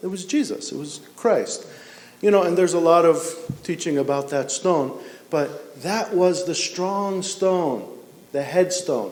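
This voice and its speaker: A man with a high-pitched voice and ordinary pitch variation, against noticeable background noise. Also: fairly slow pace. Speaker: Orthodox priest. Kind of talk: church homily. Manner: conversational, explanatory.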